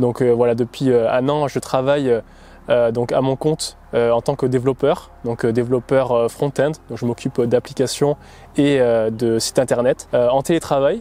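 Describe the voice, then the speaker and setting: A man talks at a moderate pace and medium pitch, in flat, monotone intonation. The sound is dry and close, with no echo. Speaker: amateur marathon runner, vlogger. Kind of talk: documentary interview. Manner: hesitant, many fillers.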